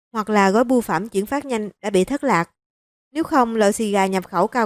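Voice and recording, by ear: In a quiet setting, the text is read aloud in a natural voice with ordinary pitch variation.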